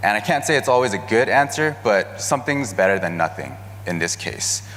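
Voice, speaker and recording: Over music in the background and with audible room echo, a man with a Californian accent speaks at medium pitch and a moderate pace with lively intonation. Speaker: marketing manager giving a keynote. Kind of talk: conference keynote presentation. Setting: stage with audience.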